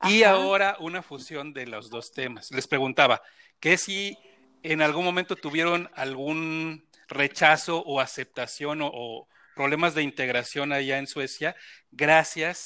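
On a very clean recording with a silent background, a man with a fairly high pitch and a bright, sharp tone speaks fairly slowly. His loudness swings widely, while his pitch varies in an ordinary way. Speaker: podcast host. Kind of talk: casual chat.

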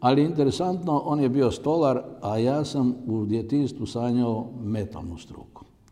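A man speaks fairly slowly in a dark, mellow tone, with audible room echo. His medium pitch shows ordinary variation. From Croatia, Zagorje region. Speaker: entrepreneur and company founder. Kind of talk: interview. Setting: on location at company site. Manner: halting.

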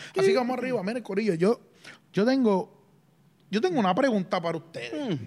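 A man speaks very fast in a high pitch with lively intonation. Long, frequent pauses break up his speech. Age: 30s. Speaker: podcast co-host. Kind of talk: casual chat.

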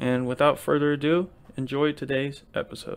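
There is music in the background as a man talks. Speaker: podcast host. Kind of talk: casual, profane.

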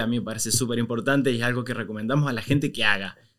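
A man talks very fast, his medium-pitched voice keeping a fairly even intonation. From Argentina, Córdoba province small town. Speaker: migration content creator. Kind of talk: casual interview.

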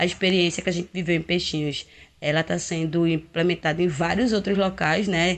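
Fairly low in pitch and fairly even in intonation, this woman has an ordinary speaking voice. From Pernambuco, Brazil (Olinda). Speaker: community activist. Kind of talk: prerecorded talk.

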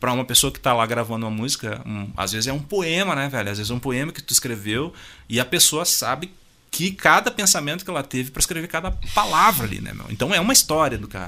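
A man with a southern Brazilian accent talks very fast at a medium pitch, his tone bright and sharp. His pitch swings very widely and his loudness rises and falls sharply. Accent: gaúcho Brazilian Portuguese. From Rio Grande do Sul, Brazil. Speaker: musician and music producer. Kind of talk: casual interview. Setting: radio studio.

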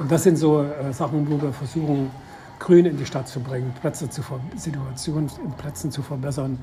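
A man with a fairly high voice talks at a moderate pace and fairly even intonation while music plays in the background. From Saxony. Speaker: city tour guide and restorer. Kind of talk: casual interview.

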